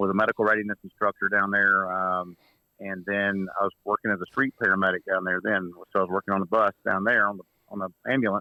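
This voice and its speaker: Speaking in a Southern US accent, a man keeps his pitch fairly low. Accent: Southern twang. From Mississippi, US South. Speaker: medical instructor and trauma kit business owner. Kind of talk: casual podcast interview. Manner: animated.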